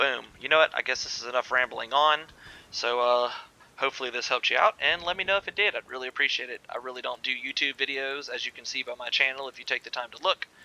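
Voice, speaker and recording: The delivery is very fast, with big swings in loudness, ordinary pitch variation and a dry, close sound with no echo. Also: man, medium pitch for a man. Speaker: gaming YouTuber. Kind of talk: gameplay tutorial. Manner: casual, filler-heavy.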